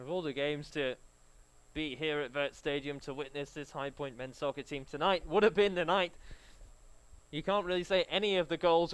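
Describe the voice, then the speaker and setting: Over a very clean recording with a silent background, a man with a fairly high pitch speaks at a moderate pace with fairly even intonation and long, frequent pauses. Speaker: sports commentator. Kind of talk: live commentary.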